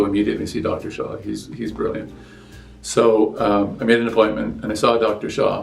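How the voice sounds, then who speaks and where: A man speaking at a fairly quick pace, with music in the background and audible room echo. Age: 70s. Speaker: patient. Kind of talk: interview testimony. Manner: halting, with many fillers and restarts.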